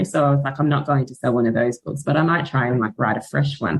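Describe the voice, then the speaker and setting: In an Australian accent, a woman speaks at a very deep, low pitch with vocal fry. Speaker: author and book content creator. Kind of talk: casual podcast interview. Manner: animated.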